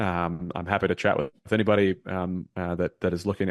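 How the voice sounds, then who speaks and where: Against a quiet background, a man's voice comes through dry and close, with no echo. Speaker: Air Force veteran and real estate investor. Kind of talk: interview. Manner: fast.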